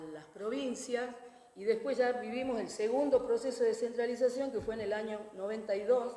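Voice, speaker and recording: A woman's fairly high voice comes through with audible room echo and noticeable background noise. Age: 60s. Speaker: educator and former education official. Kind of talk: panel talk. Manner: hesitant, many fillers.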